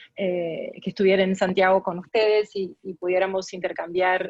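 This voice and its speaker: A woman speaks at a medium pitch with a Tucumán accent and monotone, flat intonation. The sound is dry and close, with no echo. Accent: Argentine, Tucumán. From Argentina, Tucumán. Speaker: arbitration lawyer and arbitrator. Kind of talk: guest lecture. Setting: video call.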